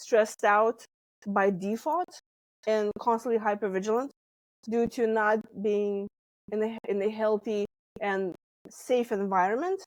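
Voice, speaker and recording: With a slight Lithuanian accent, a woman of fairly high pitch talks at a fairly slow pace. The recording is very clean with a silent background, and the sound is dry and close with no echo. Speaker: stress management coach. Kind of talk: interview.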